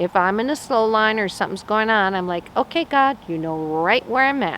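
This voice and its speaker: A plain, everyday voice: a woman at a fairly high pitch and a moderate pace, with lively intonation. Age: 60s. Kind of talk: short sermon. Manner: conversational.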